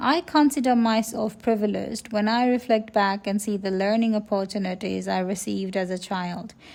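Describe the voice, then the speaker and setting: A woman with a Nepali accent, medium pitch and ordinary pitch variation, a moderate pace and hardly any pauses. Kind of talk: personal reflective narration.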